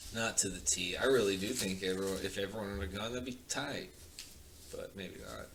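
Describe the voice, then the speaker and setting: Against noticeable background noise and audible room echo, a man with a fairly low pitch speaks with big swings in loudness and long, frequent pauses. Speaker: podcast guest, entrepreneur. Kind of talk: casual chat. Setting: podcast recording, sitting next to host. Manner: quiet today; usually loud.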